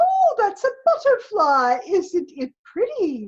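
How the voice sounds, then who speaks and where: A woman uses a squeaky put-on character voice, extremely high and gentle in tone, with very wide pitch swings at a fairly slow pace. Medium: stage play. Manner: gentle, cooing.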